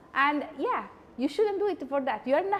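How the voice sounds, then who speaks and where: The pitch moves in very wide swings. Noticeable background noise sits behind the voice. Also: woman. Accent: Italian. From Italy. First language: Italian. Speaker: psychology lecturer. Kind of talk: conversational lecture. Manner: animated.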